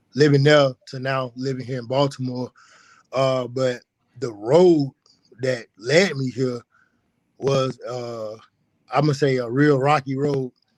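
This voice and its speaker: Speaking with a rural Alabama accent, a man of medium pitch talks at a fairly slow pace with fairly even intonation and long, frequent pauses, the sound dry and close with no echo. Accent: US Southern, rural Alabama. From rural west Alabama, Pickens County. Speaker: personal trainer. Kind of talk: podcast interview.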